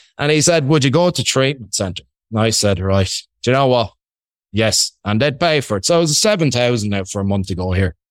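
Man at a medium pitch and fairly quick pace, in a very clean recording with a silent background. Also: lively intonation. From Ireland; Irish farm. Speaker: fitness and mindset coach. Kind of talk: casual interview chat.

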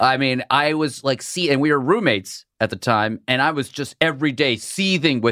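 With a medium pitch and hardly any pauses, a man talks at a fairly quick pace in a dry, close sound with no echo. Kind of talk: casual chat.

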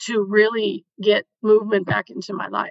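This is a woman with vocal fry. Her pitch is fairly high. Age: 60s. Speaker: healing session client. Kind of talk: casual chat.

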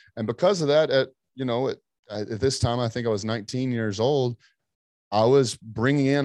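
Against a quiet background, a man with an ordinary speaking voice talks at a moderate pace and medium pitch. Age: 30s. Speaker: entrepreneur and marketing business owner. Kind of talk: interview.

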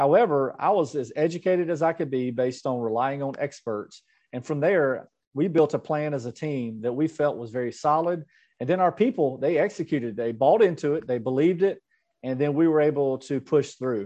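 With a Mississippi accent, a man speaks fairly quickly in a fairly high voice of dark, mellow tone. His pitch varies in an ordinary way over a quiet background. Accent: Southern US (Mississippi). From US South, Mississippi. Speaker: school superintendent. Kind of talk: interview.

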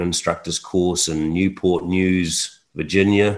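A man with a New Zealand accent speaks at a fairly slow pace in a very deep, low pitch, his intonation monotone and flat. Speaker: fisheries enforcement officer and instructor. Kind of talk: interview. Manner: halting, many fillers.

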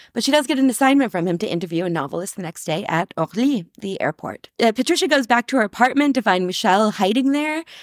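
A woman talks at a very fast pace with hardly any pauses, her fairly high pitch making very wide swings, in a very clean, silent-background recording with a dry, close sound and no echo. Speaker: podcast host and novelist.

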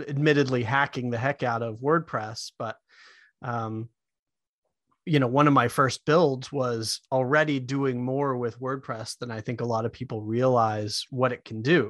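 With an American accent and an ordinary speaking voice, a man speaks at a fairly slow pace and medium pitch with fairly even intonation. The sound is dry and close with no echo, against a quiet background. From US Northeast, Maine. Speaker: web developer. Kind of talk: podcast interview.

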